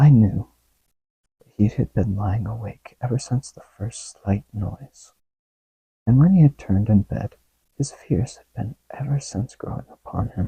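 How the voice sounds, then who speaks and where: Soft-spoken and somewhat breathy, a man talks fairly slowly at medium pitch with ordinary pitch variation and big swings in loudness. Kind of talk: ASMR story reading, soft-spoken.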